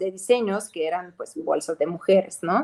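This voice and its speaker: A woman's dark, mellow voice at a medium pitch and a moderate pace. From Ukraine. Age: young. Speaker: fashion designer and entrepreneur. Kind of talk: interview.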